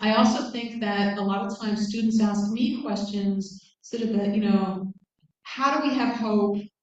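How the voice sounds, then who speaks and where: Speaking at a moderate pace with an American accent, a woman uses a fairly high pitch and fairly even intonation. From United States. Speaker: guest speaker, academic. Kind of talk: lecture with Q&A. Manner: casual, hesitant with fillers.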